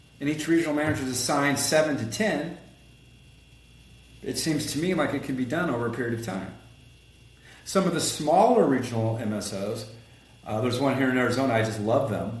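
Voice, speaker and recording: An animated voice with ordinary pitch variation moves at a fairly quick pace, with noticeable background noise and audible room echo. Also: man. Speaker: collision repair business owner and consultant. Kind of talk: podcast interview. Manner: fast.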